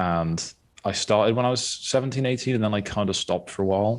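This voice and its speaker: Over a very clean recording with a silent background, a man speaks at a fairly quick pace with ordinary pitch variation. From Wales, Monmouthshire (half English). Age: 20s. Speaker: photography student. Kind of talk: casual interview.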